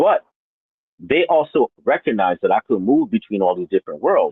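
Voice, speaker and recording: At a fairly quick pace, a man talks with a slight non-native accent. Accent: slight foreign accent in English. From New York, Brooklyn, with childhood in Haiti and Dominican Republic. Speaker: interviewee, former real estate broker. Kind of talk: interview.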